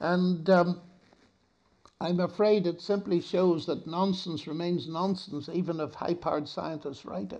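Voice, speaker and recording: A man with a Northern Irish accent, his dark, mellow tone set at a high pitch, at a fairly slow pace. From Northern Ireland. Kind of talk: public lecture and Q&A. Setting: stage with audience. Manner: warm, good-humoured, gracious.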